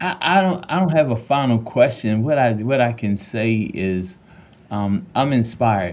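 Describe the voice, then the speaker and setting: An ordinary speaking voice with lively intonation. The pace is fairly slow. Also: man, medium pitch for a man. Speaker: podcast co-host. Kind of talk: interview.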